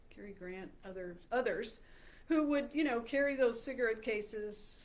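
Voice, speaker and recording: A woman talks at a moderate pace with an American accent. Audible room echo surrounds her voice. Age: 60s. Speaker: health coach. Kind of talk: talk to camera. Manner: halting, many fillers.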